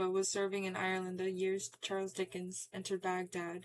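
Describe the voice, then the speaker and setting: Monotone, flat intonation from a woman at a medium pitch and moderate pace. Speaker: audiobook reader. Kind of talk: reading aloud. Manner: halting.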